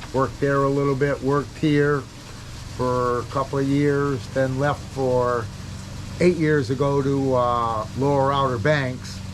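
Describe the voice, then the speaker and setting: Against noticeable background noise and audible room echo, a man with a fairly high pitch speaks slowly-ish and with fairly even intonation. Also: very even loudness. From New England (Cape Cod, Massachusetts). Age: 70s. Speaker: bait shop worker. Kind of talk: interview.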